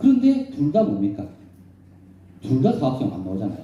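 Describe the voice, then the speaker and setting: Animated and speaking with a Busan accent, a man's voice swings very widely in pitch amid audible room echo. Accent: Gyeongsang (Busan) dialect. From South Korea, Busan. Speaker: professor and redevelopment consultant. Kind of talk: lecture. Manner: animated, rhetorical questions.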